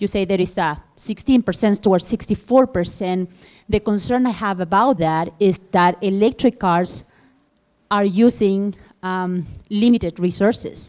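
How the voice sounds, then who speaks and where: A woman talks in a Spanish accent. Her pitch variation is ordinary. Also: medium pitch for a woman, fairly slow pace. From Chile. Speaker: audience member. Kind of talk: audience question. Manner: halting.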